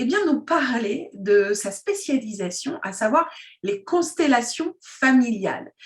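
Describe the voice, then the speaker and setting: Her high voice swings very widely in pitch as the woman speaks at a very slow pace. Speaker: interviewer. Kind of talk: interview questions.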